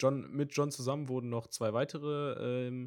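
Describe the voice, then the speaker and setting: A man speaks at a very slow pace and medium pitch. His intonation is monotone and flat, in a very clean recording with a silent background. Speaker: podcast co-host. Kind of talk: casual chat. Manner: stammering, halting.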